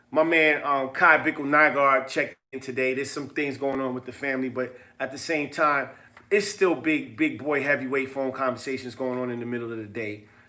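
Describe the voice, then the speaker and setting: Animated and bright, a man's sharp-toned voice sits at medium pitch and moves at a fairly quick pace. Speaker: business seminar host. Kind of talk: casual livestream seminar talk. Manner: fast.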